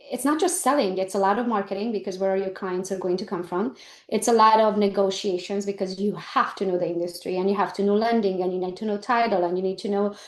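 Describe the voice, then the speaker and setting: Speaking at a very fast pace with hardly any pauses, a woman with a non-native accent holds a medium pitch. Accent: foreign. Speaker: real estate agent and business coach. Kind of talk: interview conversation. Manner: animated.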